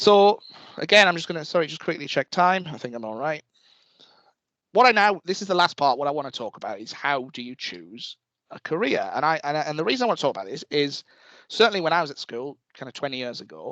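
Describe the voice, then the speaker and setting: Very fast speech in a northeast England accent comes with a bright, sharp tone, very wide pitch swings and big swings in loudness. The sound is dry and close with no echo, against a quiet background. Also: man, fairly high pitch for a man. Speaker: university lecturer. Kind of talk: talk to students. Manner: casual, with frequent fillers and repetitions.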